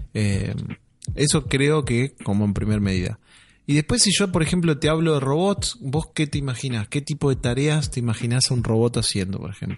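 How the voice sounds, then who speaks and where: Over a quiet background, a man at medium pitch speaks at a moderate pace, somewhat breathy, with lively intonation. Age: 30s. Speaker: podcast co-host. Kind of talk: casual chat.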